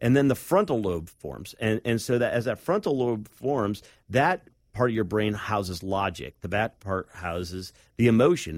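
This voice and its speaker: With an American accent, a man speaks at a moderate pace with a fairly low pitch and lively intonation. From US Midwest, Northeast Ohio. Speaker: leadership consultant. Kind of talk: interview; testimony. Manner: halting.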